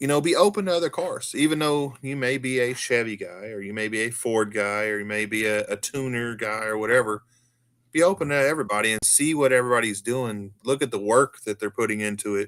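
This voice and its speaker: At a fairly quick pace, a man with an American accent uses an ordinary speaking voice at a medium pitch with ordinary pitch variation. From US South. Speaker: car enthusiast guest. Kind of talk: casual chat.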